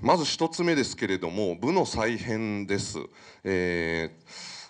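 Against a quiet background, a man with a fairly low pitch speaks at a very slow pace. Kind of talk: press conference briefing. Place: meeting room.

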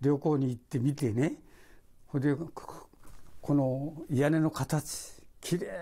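His voice, a man's, sits at a fairly high pitch yet has a dark, mellow tone. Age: 80s+. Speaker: retired model maker; interviewee. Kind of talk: interview. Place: home room.

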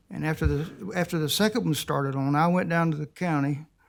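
In a rural South Carolina accent, a man talks at a fairly quick pace and a fairly high pitch with ordinary pitch variation, in a very clean recording with a silent background. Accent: US Southern, rural South Carolina. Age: 60s. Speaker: resident speaking at public comment. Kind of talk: public comment at council meeting. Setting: county council meeting.

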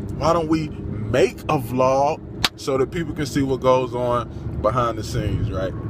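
The recording of a man talking at a fairly slow pace sounds dry with no echo, though noticeable background noise is present. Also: ordinary pitch variation. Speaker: vlogger. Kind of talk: casual vlog chat. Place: car. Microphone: phone near.

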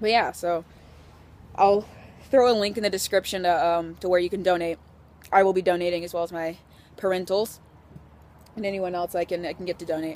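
A woman with a medium pitch speaks at a fairly quick pace with fairly even intonation and long, frequent pauses, the sound dry with no echo. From Washington, US Pacific Northwest. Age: 20s. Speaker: vlogger. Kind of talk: casual vlog monologue. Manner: rambling with fillers and laughs. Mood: cheerful, joking.

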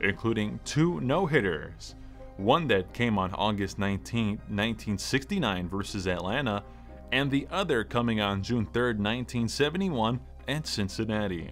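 Music plays behind a man speaking at a fairly low pitch. His voice swings very widely in pitch. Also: moderate pace. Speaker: stadium public address announcer. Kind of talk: guided sleep meditation narration. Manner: calm, soothing.

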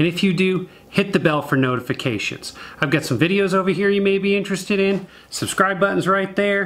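A man is speaking at a moderate pace. His voice sits high. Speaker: woodworking channel host. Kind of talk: product review talk. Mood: friendly, upbeat. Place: workshop.

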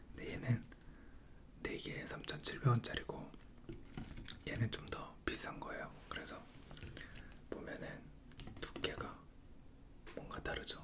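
Whispering with long, frequent pauses, a man speaks at a very slow pace. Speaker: ASMR creator. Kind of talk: ASMR casual chat while eating. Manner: whispered. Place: home room.

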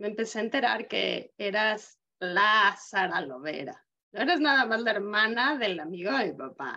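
Against a quiet background, a woman speaks at a fairly slow pace in a bright, sharp tone with vocal fry and very wide pitch swings. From Mexico. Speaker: podcast host. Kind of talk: interview. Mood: warm, admiring. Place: home room. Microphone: video call.

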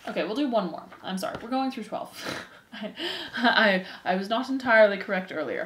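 Plain reading aloud is heard. The pitch varies in an ordinary way.

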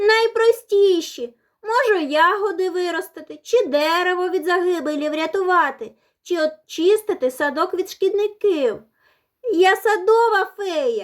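A woman uses a put-on character voice, squeaky and extremely high in pitch. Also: moderate pace. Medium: read story.

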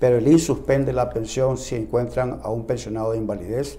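A man's somewhat breathy voice, dark and mellow in tone, with fairly even intonation. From Nicaragua. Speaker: lawyer. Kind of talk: news interview. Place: studio. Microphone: lapel.

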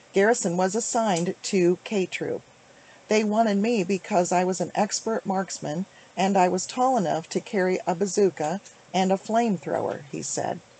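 A woman's medium-pitched voice, dark and mellow, at a moderate pace with fairly even intonation and a dry sound with no echo. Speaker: author. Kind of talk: reading from a book. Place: home room. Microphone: webcam.

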